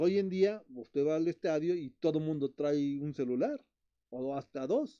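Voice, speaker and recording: Recorded with a dry, close sound and no echo, a man speaks fairly slowly in a fairly high voice with a dark, mellow tone. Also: ordinary pitch variation. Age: 60s. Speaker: betta fish breeder and channel host. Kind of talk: live stream chat. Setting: live stream. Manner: halting, repetitive.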